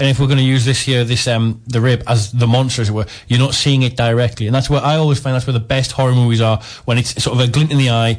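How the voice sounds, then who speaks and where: At a very fast pace, a man speaks at a medium pitch in a somewhat breathy voice. His intonation is monotone and flat, with very even loudness. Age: 20s. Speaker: guest. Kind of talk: radio film review chat.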